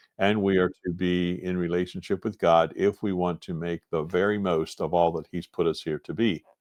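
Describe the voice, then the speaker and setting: With an American accent, a man speaks in a very deep, low pitch and fairly even intonation, the sound dry and close with no echo against a quiet background. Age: 60s. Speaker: retired agribusiness owner. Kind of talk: podcast interview.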